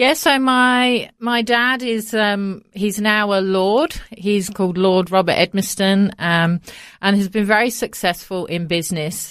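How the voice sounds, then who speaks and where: In a British accent, a woman talks at a fairly slow pace with a medium pitch and ordinary pitch variation, on a very clean recording with a silent background. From England, Coventry (Midlands). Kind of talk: interview. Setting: studio.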